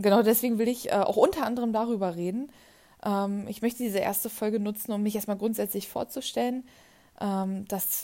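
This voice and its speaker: Her voice is fairly high with a dark, mellow tone, and the woman keeps her intonation fairly even. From eastern Germany, near Berlin. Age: 20s. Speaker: podcaster. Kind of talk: personal monologue. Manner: hesitant, many filler sounds.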